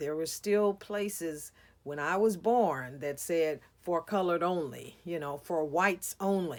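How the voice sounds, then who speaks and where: In a very clean recording with a silent background, a woman with a fairly low pitch speaks in an animated tone with ordinary pitch variation. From US Midwest, East St. Louis, Illinois. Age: 70s. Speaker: minister. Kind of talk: inspirational talk. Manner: conversational, animated.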